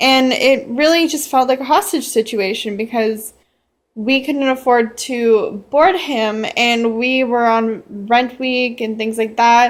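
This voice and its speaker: The speech moves at a very slow pace with ordinary pitch variation, in a very clean recording with a silent background. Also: woman, high pitch for a woman. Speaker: pet owner vlogger. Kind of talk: personal vlog appeal. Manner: halting, stuttering.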